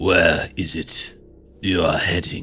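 A man's raspy, put-on character voice

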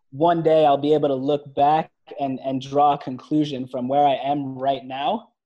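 A man with an American accent speaks at a moderate pace, his fairly high pitch held in a monotone, flat intonation. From New York. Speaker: entrepreneur. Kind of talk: interview.

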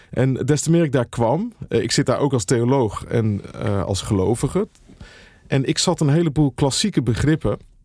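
Dark and mellow in tone, a man speaks at a medium pitch and a moderate pace. His intonation is lively while his loudness stays very even. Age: 50s. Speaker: pastor and author. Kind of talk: casual interview. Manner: earnest; halting, many repetitions.

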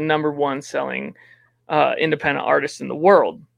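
The background stays quiet. The man talks with an American accent. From Wyoming, US. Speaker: DJ and music producer. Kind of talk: interview.

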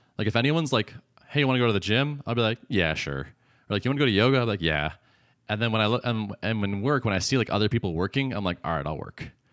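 A man with a fairly low pitch and vocal fry is heard dry and close with no echo, in a very clean recording with a silent background. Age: 40s. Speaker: podcast co-host and startup founder. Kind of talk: casual chat.

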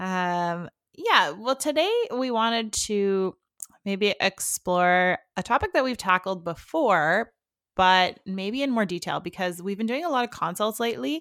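A woman talks at a medium pitch with lively intonation in a plain, everyday voice. The recording is very clean, with a silent background and a dry, close sound with no echo. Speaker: wedding planner and podcast host. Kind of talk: casual chat.

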